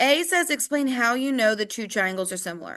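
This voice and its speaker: A bright, sharp tone with very wide pitch swings. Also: woman, quiet background. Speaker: math teacher. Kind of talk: tutorial. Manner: casual.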